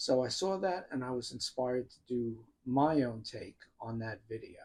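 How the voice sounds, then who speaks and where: With a strong New York accent, a man talks at a moderate pace in a medium pitch with ordinary pitch variation. His loudness swings widely. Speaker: YouTuber talking about music. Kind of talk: personal monologue. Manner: casual.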